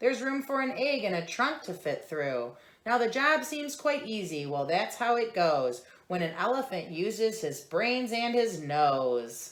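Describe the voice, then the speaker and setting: A woman puts on a squeaky character voice at a fairly high pitch, with very wide pitch swings and a moderate pace. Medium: read story.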